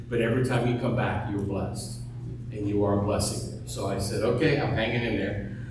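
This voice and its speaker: A man with a fairly low voice speaks at a fairly quick pace, with audible room echo and noticeable background noise. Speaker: pastor. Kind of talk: sermon. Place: church.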